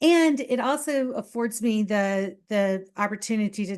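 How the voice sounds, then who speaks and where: Her voice is fairly high for a woman and carries a Southern US accent. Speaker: boudoir photographer. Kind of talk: casual interview chat. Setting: podcast interview.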